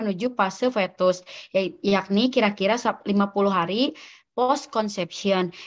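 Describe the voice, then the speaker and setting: Over a quiet background, a woman speaks at a fairly high pitch with ordinary pitch variation. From Sumedang, West Java, Indonesia; West Java, Indonesia. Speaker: veterinary student; presenter. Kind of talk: student podcast presentation. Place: home room. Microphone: video call.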